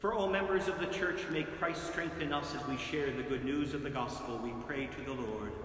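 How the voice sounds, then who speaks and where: This man talks at a moderate pace with ordinary pitch variation and a fairly high pitch. Room echo is audible around him. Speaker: priest. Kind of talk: fervent intercessory prayer, solemn and earnest, read in a steady liturgical cadence. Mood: calm, solemn. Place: church. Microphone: camera far.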